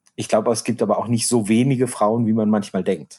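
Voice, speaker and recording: Here a man talks in a dark, mellow tone at medium pitch. Behind him the background is quiet. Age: 40s. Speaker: podcast co-host. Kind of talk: casual chat.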